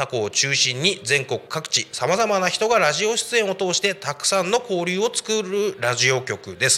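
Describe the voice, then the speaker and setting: A man's raised, projected voice, high in pitch with very wide pitch swings, over noticeable background noise. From Saitama, Japan (Koshigaya). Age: 30s. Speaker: community radio host, former police officer. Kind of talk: casual solo radio talk.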